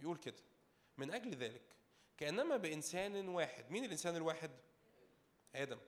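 A man at a moderate pace in an animated, calm tone. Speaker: preacher. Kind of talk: sermon. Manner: calm, unable to raise voice.

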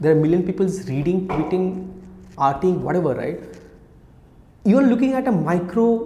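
Amid noticeable background noise and audible room echo, a high-pitched man speaks at a moderate pace with lively intonation and long, frequent pauses. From India, Kolkata (Odia family). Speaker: startup founder and CEO. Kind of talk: casual interview. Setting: office.

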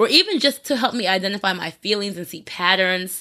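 Speaking at a very fast pace with an American accent, a woman has a medium pitch and a bright, sharp tone on a very clean recording with a silent background. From New Jersey. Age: 20s. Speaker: entertainment reporter. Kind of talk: casual chat.

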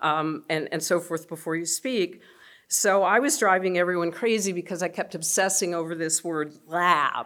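A woman with a fairly low pitch talks at a moderate pace with ordinary pitch variation in an ordinary speaking voice. The recording is very clean, with a silent background. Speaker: law professor, panel organizer. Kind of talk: welcome and introduction.

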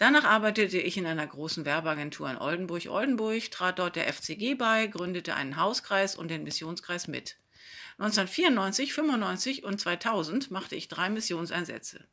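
Her bright, sharp tone sits at a medium pitch, and the woman moves at a moderate pace with lively intonation. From northern Germany, Hamburg. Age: 50s. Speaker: church children's worker. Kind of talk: self-introduction. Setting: self-recorded.

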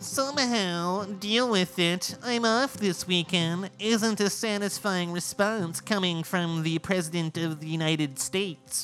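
Clear music plays in the background as a man uses a put-on character voice. His pitch is high and his pace fairly slow. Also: ordinary pitch variation, hardly any pauses. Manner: silly, dumb.

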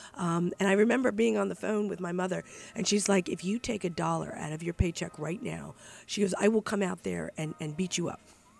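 A woman talks at a fairly quick pace with a fairly low pitch and vocal fry. Her pitch varies in an ordinary way. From moved around US (New York, Milwaukee, Texas). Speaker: state legislator. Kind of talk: casual interview. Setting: cafe.

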